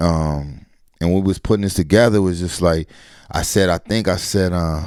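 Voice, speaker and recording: A man with an American accent and a very deep, low pitch speaks at a moderate pace with fairly even intonation. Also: very clean recording, silent background. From Colorado Springs, US. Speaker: hip-hop artist. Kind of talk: casual interview. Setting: in-person sit down.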